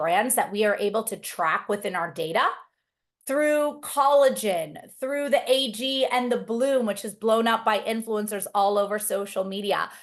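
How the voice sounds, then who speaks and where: A woman with a plain, everyday voice speaks at fairly high pitch with lively intonation against a quiet background. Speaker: marketing executive hosting a webinar. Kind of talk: webinar presentation. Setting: video call.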